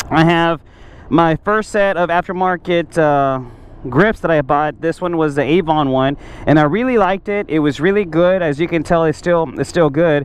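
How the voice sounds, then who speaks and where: Ordinary pitch variation at a moderate pace. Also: man, high pitch for a man, dry sound with no echo. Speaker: motorcycle rider reviewing parts. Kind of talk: casual product review. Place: street. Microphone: helmet.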